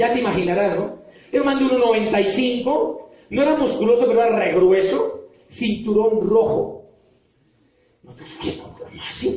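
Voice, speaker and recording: A man with a high voice speaks at a fairly slow pace, leaving long, frequent pauses, with audible echo in the room. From Colombia, Popayán. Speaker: motivational speaker and author. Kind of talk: motivational talk to an audience.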